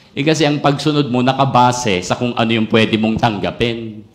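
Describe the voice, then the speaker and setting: A man with fairly even intonation keeps a moderate pace while noticeable background noise carries on. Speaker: pastor. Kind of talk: sermon. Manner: emphatic, sounds almost angry.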